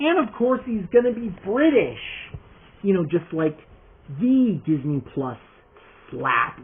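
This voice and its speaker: A man speaks very slowly with long, frequent pauses. His high pitch makes very wide swings. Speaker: toy customizer youtuber. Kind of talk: casual vlog.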